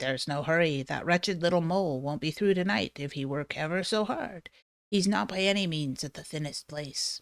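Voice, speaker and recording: Over a silent background in a very clean recording, a put-on character voice at a middle pitch moves at a moderate pace. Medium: read story.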